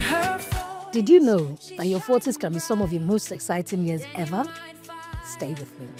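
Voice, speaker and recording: Over music in the background, a woman speaks fairly slowly at a medium pitch, with very wide pitch swings. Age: 40s. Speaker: podcast host. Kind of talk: podcast monologue. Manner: raw, unfiltered.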